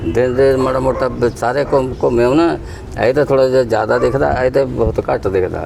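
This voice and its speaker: Against noticeable background noise, a man with a medium pitch speaks at a very even loudness. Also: fairly even intonation. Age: 70s. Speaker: bicycle repairman. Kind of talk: casual interview. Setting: at home. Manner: halting.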